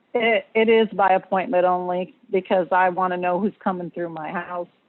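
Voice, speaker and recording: A woman with a normal speaking voice talks at a moderate pace, her medium pitch carried in fairly even intonation. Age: 60s. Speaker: home hair stylist, permit applicant. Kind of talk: public comment at council meeting. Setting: phone call into Zoom meeting. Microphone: far from phone, hard to hear.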